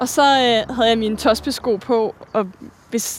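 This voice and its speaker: A woman with fairly high pitch and fairly even intonation has an ordinary speaking voice. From Denmark, Virum north of Copenhagen. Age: 20s. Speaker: ballet dancer. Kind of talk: casual conversation. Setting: outdoors, walking.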